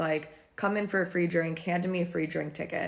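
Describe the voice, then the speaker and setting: A woman with an American accent speaks at a fairly low pitch in an unremarkable speaking voice. Her intonation is fairly even. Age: 30s. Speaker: beauty and lifestyle vlogger. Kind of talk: casual vlog recap.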